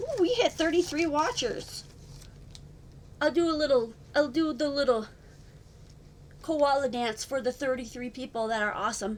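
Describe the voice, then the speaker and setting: A woman with a high pitch and an animated tone talks at a moderate pace, breaking often into long pauses. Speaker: card making crafter. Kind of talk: live stream tutorial. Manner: chatty, animated.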